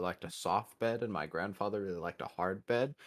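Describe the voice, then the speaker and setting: A man with an American accent and a normal speaking voice, fairly low in pitch, with ordinary pitch variation and a moderate pace, on a very clean recording with a silent background. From US Midwest. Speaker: podcast co-host. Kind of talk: casual chat.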